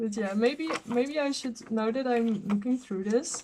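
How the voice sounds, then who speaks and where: Speaking with a non-native accent, a woman keeps her intonation fairly even. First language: not English. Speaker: journaller. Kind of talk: casual talk to camera. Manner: hesitant, awkward.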